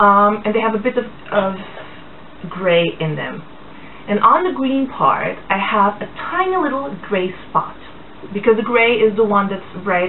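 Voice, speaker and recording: A woman speaks at a fairly slow pace with ordinary pitch variation and long, frequent pauses. Noticeable background noise runs underneath. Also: medium pitch for a woman. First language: Portuguese, English and German from childhood. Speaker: blogger. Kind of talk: casual vlog talk. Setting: indoors, blinds closed. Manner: hesitant, many fillers.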